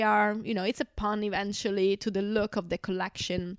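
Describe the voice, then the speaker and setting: A woman talks fairly quickly, and the recording is very clean with a silent background. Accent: Italian. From Italy. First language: Italian. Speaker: translator and podcast co-host. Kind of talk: casual chat.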